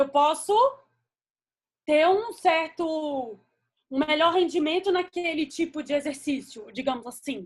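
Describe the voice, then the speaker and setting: Her high-pitched voice moves at a fairly slow pace with ordinary pitch variation and long, frequent pauses. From Brazil, Espírito Santo (Vitória). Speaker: veterinarian, lecturer. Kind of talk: lecture.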